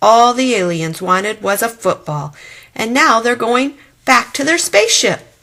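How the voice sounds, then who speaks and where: In a put-on character voice, a woman swings very widely in pitch at a moderate pace. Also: fairly high pitch for a woman. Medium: read story. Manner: casual slangy, says "like" and "man".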